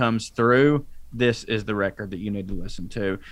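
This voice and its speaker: A man speaks with a rural Southern US accent. His pace is moderate. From North Georgia, US South. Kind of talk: casual chat.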